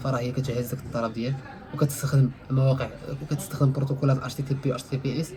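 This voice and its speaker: Over noticeable background noise, a man talks very fast at medium pitch with monotone, flat intonation. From Morocco. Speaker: IT instructor. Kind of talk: casual tech tutorial.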